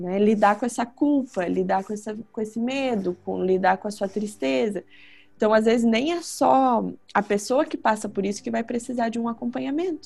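Speaking with a Curitiba accent, a woman sounds somewhat breathy at a fairly high pitch. Her pace is moderate and her intonation lively. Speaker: psychologist. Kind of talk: interview. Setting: remote call.

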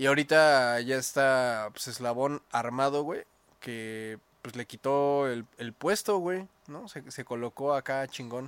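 Speaking very slowly, a man with a Mexican accent uses a medium pitch with ordinary variation. His loudness swings widely, and the sound is dry and close with no echo. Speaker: podcast host. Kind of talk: casual chat.

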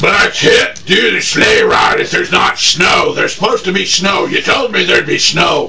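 Gravelly and put on, a man's character voice moves at a moderate pace. Clear background noise can be heard behind him. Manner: complaining.

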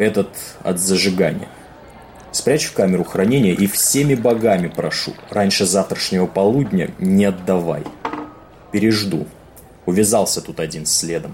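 Over clear background noise, a man puts on a gruff character voice, fairly low in pitch with ordinary variation, moving at a moderate pace broken by long, frequent pauses. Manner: gruff, brusque, swearing, jittery.

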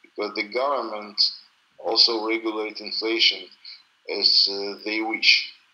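With long, frequent pauses and big swings in loudness, a man speaks at a fairly slow pace. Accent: strong Russian. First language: Russian. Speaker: crypto company founder and CEO. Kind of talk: interview. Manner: halting, slow.

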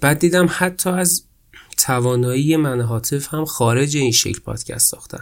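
Fairly high in pitch, a man talks at a moderate pace with ordinary pitch variation. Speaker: podcast host. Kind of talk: solo podcast monologue. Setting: home room.

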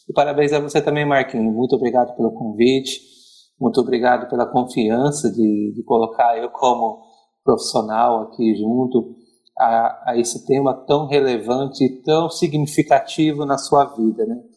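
A man speaks at a moderate pace in a dark, mellow tone with fairly even intonation. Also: medium pitch for a man. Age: 30s. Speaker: psychologist. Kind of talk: casual chat.

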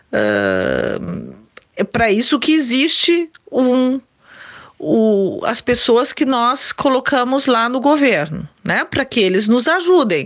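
Her fairly high-pitched voice moves at a very slow pace as the woman speaks. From Brazil, interior of São Paulo state. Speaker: job coach. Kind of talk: interview. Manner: halting, many fillers.

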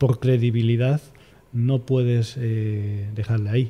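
A man in a Madrid accent, medium pitch, dark and mellow tone, somewhat breathy, with monotone, flat intonation. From Spain, Madrid. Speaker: architect, firm co-founder. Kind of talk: interview.

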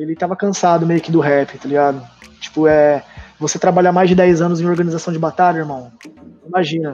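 A man with a high voice speaks fairly quickly while noticeable background noise plays underneath. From interior of São Paulo state (Tupã). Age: 30s. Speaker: rap battle host and organizer. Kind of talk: casual interview chat. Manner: animated, slangy.

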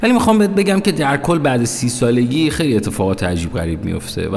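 A man talks at a very fast clip. The room echoes audibly, and background noise is noticeable. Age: 30s. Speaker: podcast host. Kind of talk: solo podcast monologue. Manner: casual conversational.

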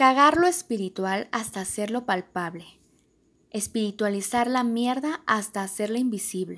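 Fairly high-pitched woman at a fairly slow pace, on a very clean recording with a silent background. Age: 20s. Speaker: volunteer audiobook reader. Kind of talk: reading aloud.

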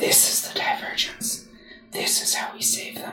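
In a put-on character voice, someone whispers raspily at a moderate pace.

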